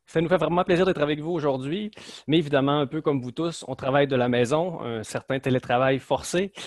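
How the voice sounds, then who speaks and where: A man's fairly high voice with a Lac-Saint-Jean accent, fairly quick pace and ordinary pitch variation. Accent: Lac-Saint-Jean Quebec. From Quebec, Lac-Saint-Jean. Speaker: management consultant. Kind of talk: webinar presentation. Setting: video call from home office.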